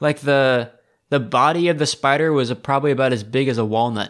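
Using a plain, everyday voice, a man with an American accent speaks at a fairly high pitch and a moderate pace with ordinary pitch variation. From Seattle, US. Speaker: podcast host, tea enthusiast. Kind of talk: casual chat. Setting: recording remotely from Taiwan.

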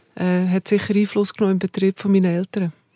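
Recorded dry and close with no echo against a silent background, a woman with a Bernese accent speaks at a medium pitch in a dark, mellow tone. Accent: Bernese Swiss German. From Bernese Oberland, Switzerland. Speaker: hotelier. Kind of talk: interview conversation.

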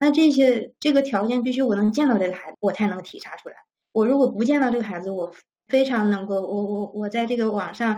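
A woman's normal speaking voice, fairly quick in pace, with ordinary pitch variation. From China. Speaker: school teacher. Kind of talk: interview answers.

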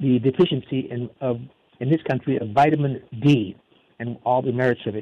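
With fairly even intonation, a man speaks in an ordinary speaking voice at a medium pitch. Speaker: radio host. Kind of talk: radio interview show.

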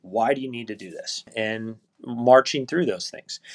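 At a fairly slow pace, a man with an American accent speaks at a medium pitch. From US Midwest, northwest Ohio. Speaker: golf course superintendent. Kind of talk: interview.

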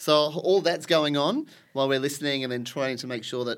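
A man with an Australian accent talks at a fairly quick pace, his pitch varying in an ordinary way. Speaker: sign language interpreter. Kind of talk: casual chat. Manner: animated.

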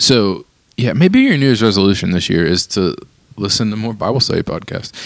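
A man talks at a fairly quick pace with big pitch swings and vocal fry. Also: fairly low pitch for a man.

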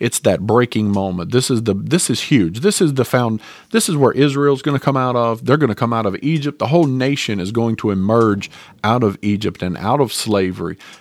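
Speaking fairly quickly with a Southern US accent, a man holds a medium pitch and ordinary pitch variation on a very clean recording with a silent background. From North Carolina, US South. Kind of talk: casual religious talk, Bible teaching podcast. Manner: informal, chatty, conversational.

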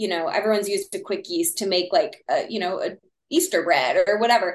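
A woman speaks in a Texan accent. Her pace is moderate. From Texas. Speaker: sourdough baker guest. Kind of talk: casual interview chat.

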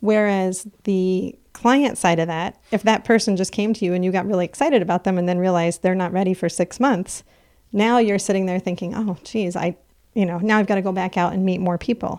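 This is an ordinary speaking voice, a woman with an American accent at a medium pitch. She talks at a fairly quick pace with fairly even intonation, on a very clean recording with a silent background. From Plattsburgh, upstate New York. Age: 40s. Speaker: business owner. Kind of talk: interview conversation. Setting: studio.

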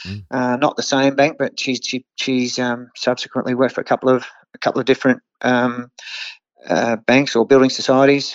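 In an Australian accent, a man with a medium pitch speaks at a moderate pace with monotone, flat intonation. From Australia, Hunter Valley NSW. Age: 50s. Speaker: horse trainer. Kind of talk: interview. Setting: remote call. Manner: halting, many fillers.

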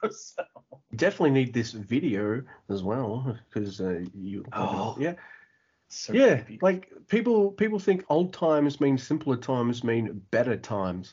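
A man with an Australian accent speaks at medium pitch, his voice making very wide pitch swings. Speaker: podcast host. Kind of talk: casual chat. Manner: fast talker.

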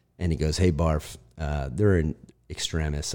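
A man with a Midwestern US accent speaks at a moderate pace in a very deep, low pitch, his tone dark and mellow and his intonation fairly even, on a very clean recording with a silent background. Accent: US Midwest. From Ohio, US Midwest. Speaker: former fighter pilot. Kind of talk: casual chat. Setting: apartment with echo.

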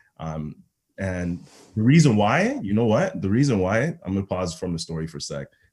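In a Toronto accent, a man talks at a moderate pace with lively intonation. His pitch is fairly low. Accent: Canadian (Toronto). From Toronto, Ontario (Rexdale), born in Ghana. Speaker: football coach and public speaker. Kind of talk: podcast interview.

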